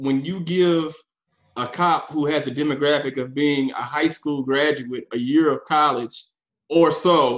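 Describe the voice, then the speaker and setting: Heard here is a plain, everyday voice with an American accent and fairly even intonation. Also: man. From Houston, Texas. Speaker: defense attorney. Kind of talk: interview.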